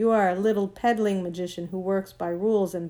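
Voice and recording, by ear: This clip is of reading aloud in a natural voice.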